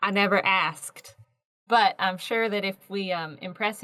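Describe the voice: Plain reading aloud with fairly even intonation against a quiet background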